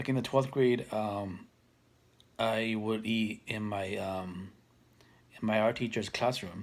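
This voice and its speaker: Speaking at a very slow pace with long, frequent pauses, a man uses a fairly low voice and fairly even intonation. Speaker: mental health vlogger. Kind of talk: casual monologue. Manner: hesitant, many fillers.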